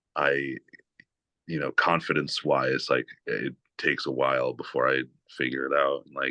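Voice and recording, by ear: A man talks at a moderate pace with an extremely low pitch and little pitch movement. His tone is bright and sharp.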